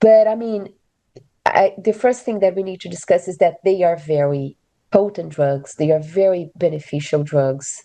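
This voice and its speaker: A woman's dark, mellow tone in a Portuguese accent. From Brazil. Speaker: physician. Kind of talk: expert panel discussion. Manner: halting, many filler words.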